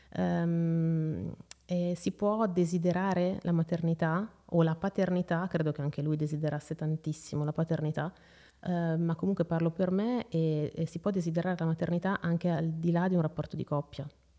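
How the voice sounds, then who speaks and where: The voice has a dark, mellow tone and monotone, flat intonation, moving at a moderate pace. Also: woman, fairly low pitch for a woman. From northern Italy, Lombardy (Seregno). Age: 30s. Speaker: mother sharing her story, journalist. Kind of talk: personal testimony interview. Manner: hesitant, many fillers.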